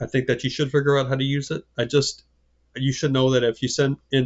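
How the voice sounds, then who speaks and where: At a fairly quick pace, a man speaks at a medium pitch. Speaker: college English instructor. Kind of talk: recorded class video lecture. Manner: fast; halting, many repeated words.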